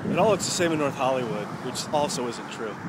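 A man talks fairly quickly, the sound dry with no echo and noticeable background noise behind him. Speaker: video blogger. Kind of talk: casual vlog chat. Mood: relaxed, musing. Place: street. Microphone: phone near.

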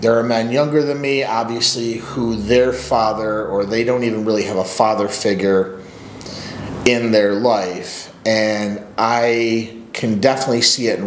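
Audible room echo and light background noise surround the recording. A man speaks at a fairly slow pace with fairly even intonation. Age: 40s. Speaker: men's coach and channel host; men's coach, channel host. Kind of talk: personal story monologue; casual storytelling vlog. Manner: casual, with filler words. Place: office. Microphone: webcam.

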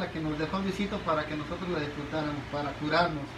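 Noticeable background noise sits under a man's speech. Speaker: shop worker demonstrating product. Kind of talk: product demonstration tutorial. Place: shop. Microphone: phone near.

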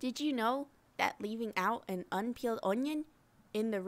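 The words are read aloud in a natural voice.

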